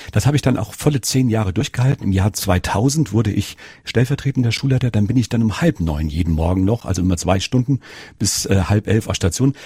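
A man talks at a fairly quick pace with lively intonation and a fairly low pitch. His tone is dark and mellow, and somewhat breathy. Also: dry, close sound with no echo. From Rhineland-Palatinate, Germany. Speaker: nursing educator and author. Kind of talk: interview.

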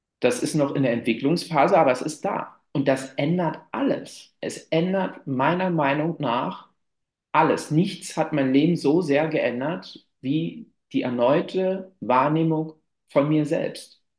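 A man talks at a very slow pace. His voice is fairly high for a man, with ordinary pitch variation. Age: 30s. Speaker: climbing therapist. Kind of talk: interview.

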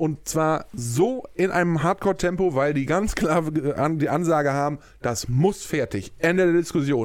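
Over a very clean recording with a silent background, a man with a fairly high pitch speaks energetically at a fairly slow pace, with very even loudness and hardly any pauses. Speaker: podcast host. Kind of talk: casual chat. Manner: energetic, euphoric.

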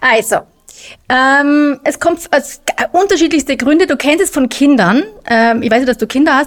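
Her voice high in pitch, a woman speaks at a moderate pace with ordinary pitch variation and very even loudness. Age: middle-aged. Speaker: nutrition expert. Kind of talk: casual chat.

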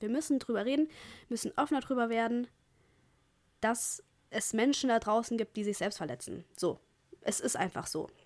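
Intonation rises and falls in a lively way at a fairly quick pace. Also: woman. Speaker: podcaster. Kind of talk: casual monologue. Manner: casual, filler-heavy.

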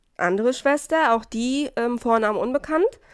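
Pitch moves in an ordinary way. The speaker is a woman. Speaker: true crime podcast host. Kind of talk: casual chat presenting a case.

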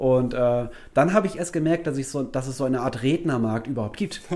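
The voice has a dark, mellow tone, a fairly quick pace and ordinary pitch variation. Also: man. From Germany, Wuppertal. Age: 30s. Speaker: keynote speaker on nutrition and health psychology. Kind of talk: casual interview.

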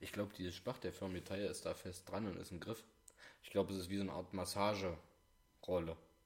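Monotone and flat, a man with a very deep, low pitch speaks at a fairly quick pace. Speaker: podcast co-host. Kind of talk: casual chat.

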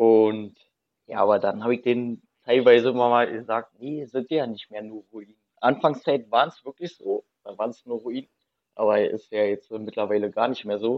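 Using a normal speaking voice, a man talks at a moderate pace and medium pitch, with fairly even intonation and big swings in loudness. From Berlin. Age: 30s. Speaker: urban explorer. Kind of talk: casual chat.

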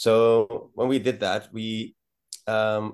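A man with a Dutch accent speaks in a fairly low pitch. His intonation is fairly even over a quiet background. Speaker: rock band musician. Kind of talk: casual interview. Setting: video call.

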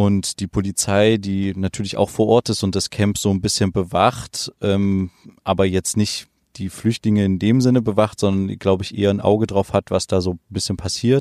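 A man speaks at a moderate pace in a fairly low, dark, mellow voice with monotone, flat intonation, recorded with a dry, close sound and no echo. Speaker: podcast co-host reporting from abroad. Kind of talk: field report interview. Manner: halting with many fillers.

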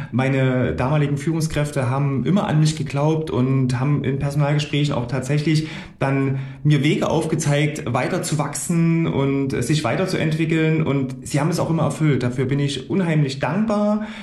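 Over noticeable background noise and audible room echo, a man talks at a moderate pace in a fairly high pitch, keeping his loudness very even and his intonation fairly even. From Gera, Thuringia, eastern Germany. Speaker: financial broker. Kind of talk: interview. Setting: office.

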